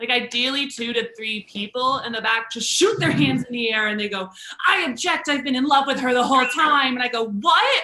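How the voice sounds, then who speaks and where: Over noticeable background noise, a woman talks fairly quickly in a high pitch with lively intonation. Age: 20s. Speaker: stand-up comedian. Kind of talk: stand-up.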